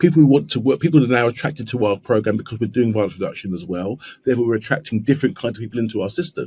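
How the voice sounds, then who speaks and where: Speaking very fast with a London accent, a man uses lively intonation in a dark, mellow, somewhat breathy tone at a medium pitch. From South East London. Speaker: trauma surgeon. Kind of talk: podcast interview. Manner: repetitive false starts.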